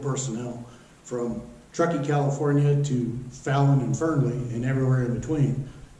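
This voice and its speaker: A man speaks at a moderate pace with a medium pitch and fairly even intonation. Noticeable background noise and audible room echo fill the recording. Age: 60s. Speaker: local board candidate, retired utility manager. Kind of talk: self-introduction campaign statement. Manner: hesitant, many fillers.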